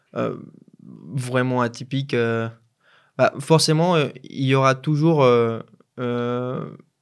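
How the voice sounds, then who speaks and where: Speaking with a Colombian accent, a man talks at a very slow pace with long, frequent pauses, medium pitch and ordinary pitch variation on a very clean recording with a silent background. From Colombia, Pereira (center-west). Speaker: business school student. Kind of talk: interview. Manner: hesitant, many fillers and repetitions.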